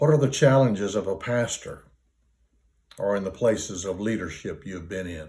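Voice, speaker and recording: A man with a fairly low pitch and a dark, mellow tone sounds somewhat breathy, using ordinary pitch variation. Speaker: retired pastor. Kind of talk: interview answer.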